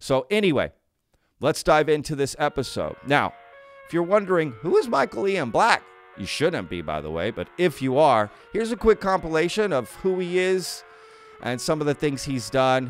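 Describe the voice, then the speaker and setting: Over music in the background, a man talks at a moderate pace with very wide pitch swings, and the sound is dry with no echo. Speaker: podcast host. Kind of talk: casual vlog chat. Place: home room. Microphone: studio mic.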